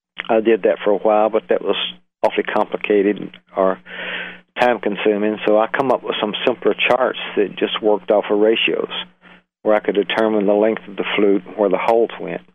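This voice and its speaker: Speaking with a Southern US accent, a man with fairly low pitch moves at a fairly quick pace in monotone, flat intonation. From US South, Alabama. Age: 70s. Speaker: flute maker, retired engineer. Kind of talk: interview. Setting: phone call.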